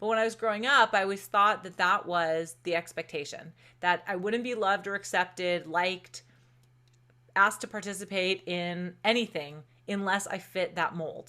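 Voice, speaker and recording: The voice is loud, with a bright, sharp tone. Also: woman, medium pitch for a woman, ordinary pitch variation, moderate pace, very clean recording, silent background. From Southern California. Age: 40s. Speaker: entrepreneur. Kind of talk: casual interview chat.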